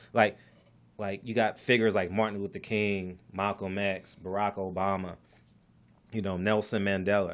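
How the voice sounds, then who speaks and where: A man speaks at a moderate pace in a fairly low, flat monotone, leaving long and frequent pauses. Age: 40s. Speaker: real estate investor and podcaster. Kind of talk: casual interview. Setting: studio.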